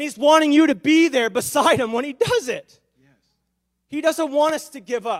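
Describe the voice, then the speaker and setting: A man speaks at an extremely high pitch. His pace is moderate and his pitch variation ordinary. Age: 30s. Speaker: guest preacher. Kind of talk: sermon.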